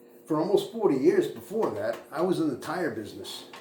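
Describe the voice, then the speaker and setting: At a moderate pace, a man with an American accent talks with ordinary pitch variation, amid noticeable background noise and audible room echo. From suburban Boston area, US. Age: 60s. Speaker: fuel truck driver and channel host. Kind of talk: personal monologue, life story. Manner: halting, many fillers and repetitions.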